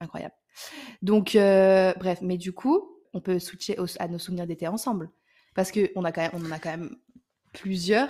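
A woman's medium-pitched voice has a dark, mellow tone and long, frequent pauses. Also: fairly even intonation, moderate pace. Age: 20s. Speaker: podcast co-host. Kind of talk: casual chat.

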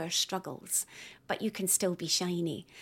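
Someone with a Scottish accent speaks at a moderate pace in a very clean recording with a silent background. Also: woman. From Scotland. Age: 40s. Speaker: poet. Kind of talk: casual interview.

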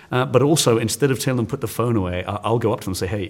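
Speaking with an English accent, a man uses lively intonation at a medium pitch on a very clean recording with a silent background. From England. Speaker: science teacher. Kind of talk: interview. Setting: conference. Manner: energetic.

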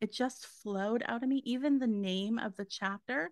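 With a Canadian accent, a woman uses a normal speaking voice at a fairly high pitch, a moderate pace and ordinary pitch variation, recorded very cleanly against a silent background with a dry, close sound and no echo. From Canada. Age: 40s. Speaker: psychic medium. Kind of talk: interview.

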